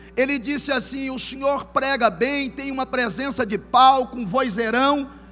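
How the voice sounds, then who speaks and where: A man speaks with a Goiás accent. His pitch is extremely high. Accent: Goiás interior. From Goiás, Brazil (interior). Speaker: pastor. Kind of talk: sermon.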